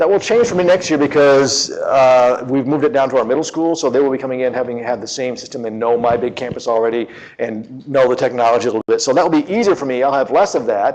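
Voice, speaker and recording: Over noticeable background noise, a man at medium pitch speaks at a very fast pace. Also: ordinary pitch variation. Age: 50s. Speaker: teacher and conference presenter. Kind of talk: conference talk. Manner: animated.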